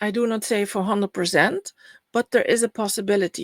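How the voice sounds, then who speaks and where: A woman talks with a Dutch accent at a medium pitch. The sound is dry and close, with no echo. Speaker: spiritual healer and astrology speaker. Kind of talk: online summit presentation.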